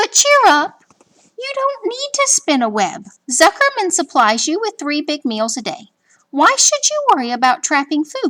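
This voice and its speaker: In a put-on character voice, a woman projects a raised voice at an extremely high pitch with very wide pitch swings. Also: moderate pace. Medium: read story. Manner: measured, wry.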